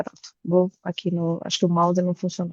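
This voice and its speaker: This woman talks at a moderate pace. Her pitch is medium. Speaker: tax executive and board member. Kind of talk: online presentation.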